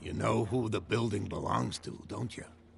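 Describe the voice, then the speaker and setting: Using a raspy, put-on character voice at a fairly low pitch, a man speaks at a moderate pace over clear background noise. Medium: video game. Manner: calm, direct.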